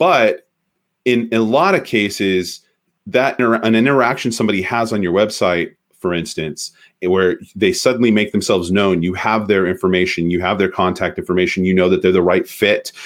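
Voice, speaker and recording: Moderate pace from a man with a fairly low pitch and ordinary pitch variation. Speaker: marketing expert. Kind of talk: interview. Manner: halting; animated.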